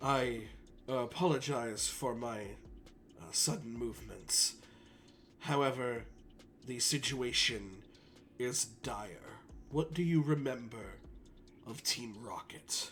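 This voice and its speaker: In a raspy put-on character voice at a medium pitch, a man speaks with long, frequent pauses over clear background noise. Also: fairly slow pace, ordinary pitch variation. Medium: actual play. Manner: formal, measured, composed.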